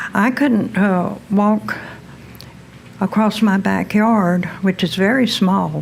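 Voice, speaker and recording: Speaking at a very slow pace, a woman with a medium-pitched voice keeps her intonation fairly even and her loudness very even, with noticeable background noise behind her. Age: 70s. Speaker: patient. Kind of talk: testimony.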